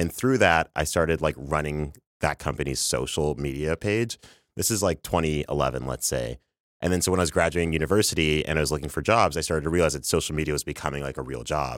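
A man with a Canadian accent talks at a very fast pace in a very deep, low pitch, with vocal fry and ordinary pitch variation. The recording is very clean, with a silent background. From Canada, Toronto. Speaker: social media strategist. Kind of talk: casual chat. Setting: studio. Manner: animated.

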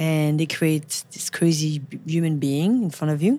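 Someone with a French accent speaks at a fairly slow pace with ordinary pitch variation. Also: woman, very clean recording, silent background. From France, Paris. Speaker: photographer. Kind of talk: casual interview. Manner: halting, with repeated words.

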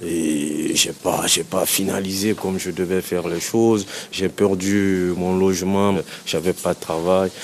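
Over noticeable background noise, a man talks at a very slow pace in a very deep, low voice with a flat, monotone delivery. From Guinea, Conakry. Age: 30s. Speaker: person experiencing homelessness. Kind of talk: personal testimony interview. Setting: public bath-house washroom.

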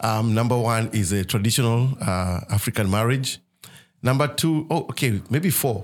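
With a Kenyan accent, a man speaks at a moderate pace with a medium pitch and ordinary pitch variation. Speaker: ministry leader. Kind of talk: casual chat about faith.

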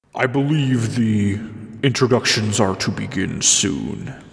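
A man puts on a character voice, talking fairly slowly at a medium pitch. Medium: actual play. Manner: terse, formal.

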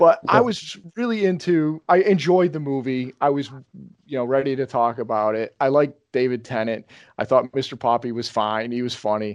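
In an American accent, a man with an unremarkable speaking voice and medium pitch speaks at a moderate pace with ordinary pitch variation, in a dry, close sound with no echo against a quiet background. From upstate New York. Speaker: podcast host. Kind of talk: casual chat.

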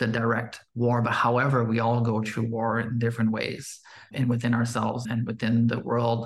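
At a moderate pace, the speaker's voice comes out somewhat breathy. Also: man. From Quebec, Canada. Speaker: podcast host. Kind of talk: podcast conversation.

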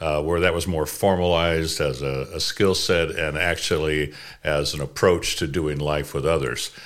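A man's very deep, low voice with vocal fry, fairly even intonation and a moderate pace, on a very clean recording with a silent background. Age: 60s. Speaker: life coach. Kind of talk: interview.

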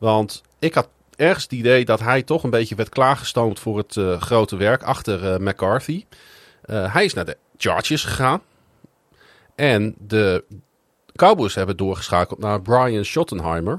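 In a very clean recording with a silent background and a dry, close sound with no echo, a man with a fairly low pitch talks at a fairly slow pace with lively intonation and long, frequent pauses. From Netherlands, Groningen. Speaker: podcast host. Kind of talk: casual chat.

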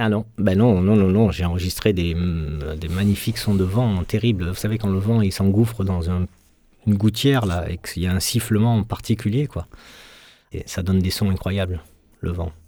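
A man's very deep, low voice with a dark, mellow tone, fairly even intonation and a moderate pace. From Marseille, southern France. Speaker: film sound engineer. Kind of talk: interview.

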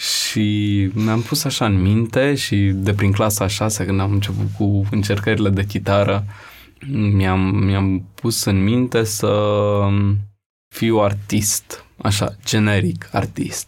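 The delivery is monotone and flat, with very even loudness. The pace is very slow. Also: man, fairly low pitch for a man. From Romania, Bucharest (Rahova). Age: 20s. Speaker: photographer. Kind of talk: casual interview.

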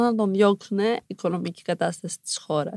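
A woman speaks in a normal speaking voice at a fairly slow pace, her medium pitch moving with ordinary variation, in a dry, close recording with no echo that is very clean against a silent background. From Iran, raised in Greece from age 5. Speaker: former TV model contestant, activist voice. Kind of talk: interview.

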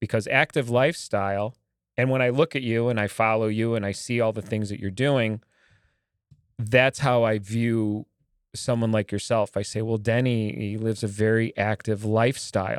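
A man with a medium pitch uses an ordinary speaking voice at a moderate pace with fairly even intonation. The recording is very clean and dry, with a close sound, no echo and a silent background. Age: 50s. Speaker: podcast host. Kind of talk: casual interview.

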